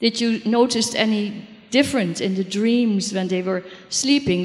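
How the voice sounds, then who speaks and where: Noticeable background noise sits under a woman's voice of medium pitch. She speaks at a fairly slow pace with fairly even intonation. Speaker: audience member, dream therapist. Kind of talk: audience question.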